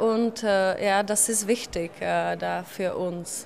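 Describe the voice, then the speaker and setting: A woman speaks with a Czech accent. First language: Czech (speaking German). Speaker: secondary school teacher. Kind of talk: interview.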